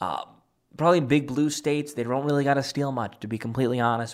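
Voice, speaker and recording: With an American accent, a man speaks at a very fast pace. His pitch is fairly high. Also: very clean recording, silent background. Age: 20s. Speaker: political commentator. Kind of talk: political commentary monologue. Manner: animated.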